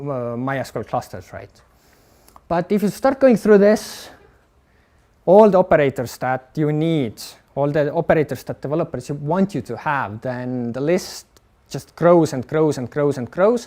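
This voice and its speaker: With a dark, mellow tone and fairly high pitch for a man, he speaks at a moderate pace, his intonation lively and his loudness swinging widely. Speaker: HPC infrastructure engineer. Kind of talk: technical talk. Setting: live-streamed workshop with audience. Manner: hesitant with fillers.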